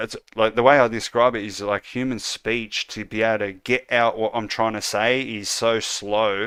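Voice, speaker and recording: Monotone, flat intonation from a man at medium pitch and moderate pace, on a very clean recording with a silent background. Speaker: game developer streamer. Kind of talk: casual live stream chat. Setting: live stream. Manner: halting, many ums and ahs.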